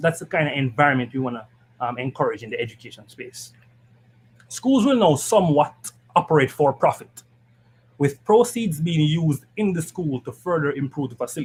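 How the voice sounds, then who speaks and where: A man with a Jamaican accent, fairly high pitch, fairly quick pace, lively intonation, big swings in loudness and a somewhat breathy sound. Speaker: political party education committee member. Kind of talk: political panel discussion. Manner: fast.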